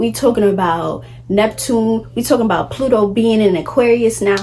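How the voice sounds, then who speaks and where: A woman speaks in a New York accent at a medium pitch and moderate pace. Noticeable background noise can be heard. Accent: New York City. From Brooklyn, New York City. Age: 20s. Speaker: lifestyle vlogger. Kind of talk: casual talk to camera.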